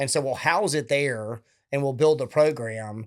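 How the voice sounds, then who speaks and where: A man with a Southern US accent and a fairly high pitch, at a fairly quick pace. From Alabama, US South. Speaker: retired military officer and veteran charity founder. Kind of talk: interview conversation.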